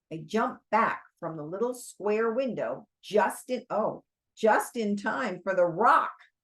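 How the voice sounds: The speaker reads in a natural reading voice, with a quiet background behind them.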